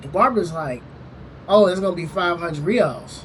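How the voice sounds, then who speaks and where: A man's high-pitched voice with audible room echo. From US South, Louisiana. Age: 20s. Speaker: travel vlogger. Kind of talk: casual storytelling. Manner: casual, filler-heavy.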